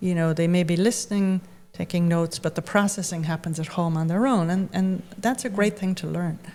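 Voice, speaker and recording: Soft-spoken and fairly low in pitch, a woman with an American accent talks at a fairly quick pace with fairly even intonation. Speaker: writer and writing teacher. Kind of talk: interview conversation.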